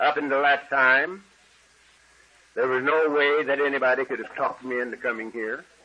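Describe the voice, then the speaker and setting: Bright and sharp in tone, a man speaks at a moderate pace with a fairly high pitch. His intonation stays fairly even, and he leaves long, frequent pauses. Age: 70s. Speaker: AA speaker sharing recovery story. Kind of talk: testimony.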